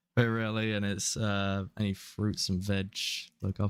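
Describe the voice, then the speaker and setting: In a British accent, a man speaks at a moderate pace and a fairly low pitch, the sound dry and close with no echo. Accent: British, often taken for Australian. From England. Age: 20s. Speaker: VTuber gaming streamer. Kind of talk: casual gaming livestream chat. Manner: halting, many restarts.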